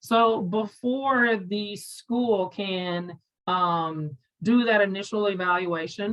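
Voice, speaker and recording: Using a normal speaking voice, a woman talks at medium pitch, her pitch varying in an ordinary way. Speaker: parent advocacy coordinator, former educator. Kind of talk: webinar presentation.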